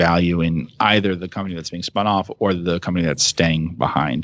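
This man has a very deep, low pitch and an American accent. He talks at a fairly quick pace. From New Jersey. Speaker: investment manager. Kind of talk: interview. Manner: hesitant, many fillers.

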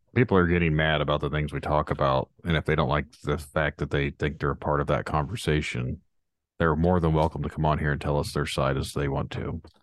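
A man's very deep, low voice with vocal fry, a fairly quick pace, fairly even intonation and a dry, close sound with no echo. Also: quiet background. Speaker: podcast host. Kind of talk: casual chat. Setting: virtual call.

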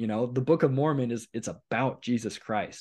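With a Western US accent, a man talks at a moderate pace and ordinary pitch variation. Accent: General American, western US. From US Pacific Northwest, eastern Oregon. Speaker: YouTube host. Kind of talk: casual conversation.

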